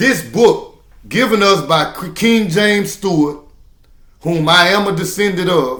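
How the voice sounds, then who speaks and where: A man with a high voice speaks at a fairly slow pace, his tone bright and sharp, his pitch varying in an ordinary way, with audible room echo. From Louisiana Creole. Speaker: self-styled prophet, spiritual teacher. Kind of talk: sermon-style monologue. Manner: halting, with fillers and restarts.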